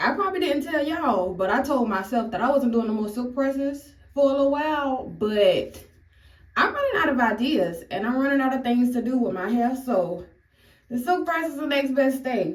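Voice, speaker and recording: In a room with audible echo, a woman talks in a high pitch with lively intonation. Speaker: beauty vlogger. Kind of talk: hair tutorial. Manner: casual, chatty.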